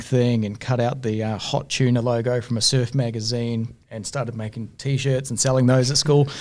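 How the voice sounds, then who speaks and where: A man with a New Zealand accent, medium pitch, moderate pace and monotone, flat intonation, on a very clean recording with a silent background. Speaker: entrepreneur, business owner. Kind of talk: podcast interview, casual storytelling.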